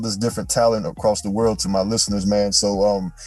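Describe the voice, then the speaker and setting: Very fast speech over music in the background. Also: man. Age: 20s. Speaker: podcast host. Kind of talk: interview.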